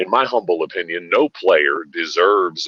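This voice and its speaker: The voice belongs to a man with an American accent. No echo colors the dry, close sound. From western Pennsylvania. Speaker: caller. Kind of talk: call-in hockey discussion.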